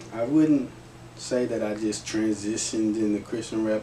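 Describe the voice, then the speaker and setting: Using a plain, everyday voice, a man with an American accent talks at a moderate pace and a fairly low pitch with fairly even intonation. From Texas, Garland (Dallas area). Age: 30s. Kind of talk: interview. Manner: casual, conversational.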